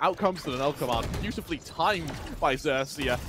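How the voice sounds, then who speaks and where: An energetic, animated man at a fairly quick pace amid noticeable background noise. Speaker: esports commentator. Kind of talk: live esports commentary. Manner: animated, excitable play-by-play; fast, energetic, building tension.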